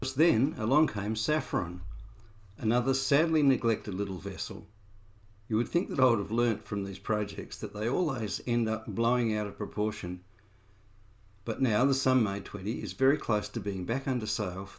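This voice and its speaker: A man speaks at a moderate pace with an Australian accent, medium pitch, and ordinary pitch variation. The recording is very clean, with a silent background. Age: 60s. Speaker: amateur boat restorer. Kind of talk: reflective narration.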